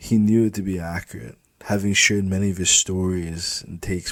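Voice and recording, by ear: This is someone reading aloud in a natural voice. The intonation stays fairly even.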